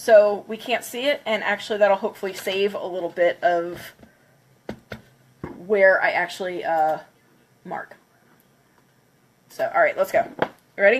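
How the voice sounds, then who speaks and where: A woman speaks at a moderate pace with a medium pitch, lively intonation and an excited tone over noticeable background noise. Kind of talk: casual livestream talk to camera. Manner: excited, chatty.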